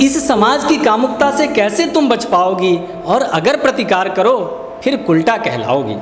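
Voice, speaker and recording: Over noticeable background noise, a man speaks at a high pitch with lively intonation and very even loudness. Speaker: poet. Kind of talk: spoken word poetry performance with commentary.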